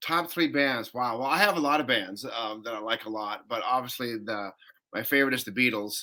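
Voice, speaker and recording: The tone is bright and sharp. The speech moves at a fairly quick pace with ordinary pitch variation. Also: man, medium pitch for a man. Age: 60s. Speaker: film composer and musician. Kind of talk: podcast interview.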